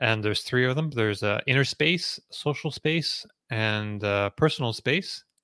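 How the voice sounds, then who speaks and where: A man's medium-pitched voice with a bright, sharp tone, ordinary pitch variation and a moderate pace, dry and close with no echo, on a very clean recording with a silent background. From rural New Brunswick, Canada. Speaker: EV news site editor and forum moderator. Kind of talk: casual chat.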